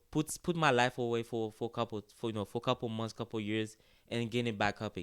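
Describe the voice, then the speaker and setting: With a Haitian accent, a man at medium pitch talks at a very fast pace in a dry, close sound with no echo, the recording very clean against a silent background. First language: Haitian Creole. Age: 20s. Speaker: college soccer player. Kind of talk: casual interview. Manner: animated.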